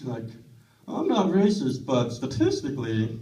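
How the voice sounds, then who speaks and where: A man speaks at a moderate pace with lively intonation. Audible room echo and noticeable background noise surround his voice. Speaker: stand-up comedian. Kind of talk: stand-up. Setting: stage with audience.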